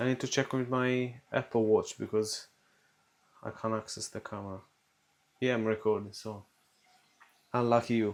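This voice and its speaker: In an Italian accent, a man talks at a moderate pace with monotone, flat intonation and long, frequent pauses. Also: medium pitch for a man. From Italy. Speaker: cooking vlogger. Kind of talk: casual vlog chat while cooking. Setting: home kitchen.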